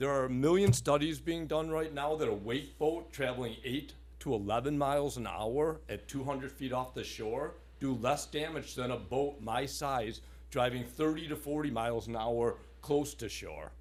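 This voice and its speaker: A man talks at a moderate pace. Audible room echo lingers around his voice. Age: 60s. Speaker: resident speaking at public comment. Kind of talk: public comment at town board meeting. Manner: animated.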